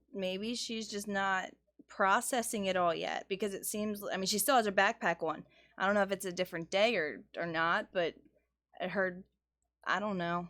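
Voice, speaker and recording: In a plain, everyday voice, a woman speaks at a moderate pace and medium pitch with ordinary pitch variation, on a very clean recording with a silent background. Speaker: livestream co-host. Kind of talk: casual live discussion. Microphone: far from the mic.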